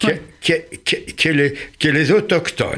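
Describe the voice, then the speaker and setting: Vocal fry runs through this man's voice. He speaks at a very slow pace. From Germany. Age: 80s+. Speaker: Holocaust survivor. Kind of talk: radio interview answer.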